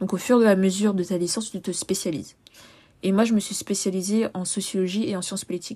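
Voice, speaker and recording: A woman's somewhat breathy, medium-pitched voice at a very fast pace, with fairly even intonation. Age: 20s. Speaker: podcast host, sociology student. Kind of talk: solo podcast monologue. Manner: casual, with frequent hesitations.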